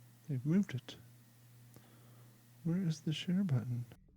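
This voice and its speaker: A man's somewhat breathy voice with an American accent, a dark, mellow tone, very wide pitch swings, and a moderate pace. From Kentucky hills, then Ohio. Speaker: podcast host. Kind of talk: casual chat.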